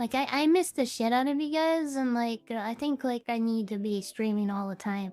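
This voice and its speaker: A woman with a fairly high pitch talks at a moderate pace with hardly any pauses and ordinary pitch variation, music playing in the background. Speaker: vtuber streamer. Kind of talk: casual chat. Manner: animated.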